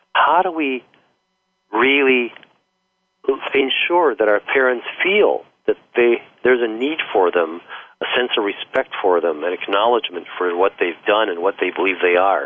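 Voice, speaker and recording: The voice swings very widely in pitch at a moderate pace. Long pauses come often. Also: man, medium pitch for a man. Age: 60s. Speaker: author and communications consultant. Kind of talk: radio interview. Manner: halting, hesitant.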